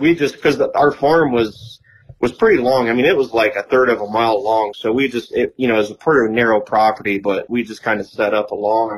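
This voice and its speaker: An ordinary speaking voice from a man, medium in pitch, fairly quick, with ordinary pitch variation. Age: 40s. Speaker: deer hunter and land manager. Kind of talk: casual chat.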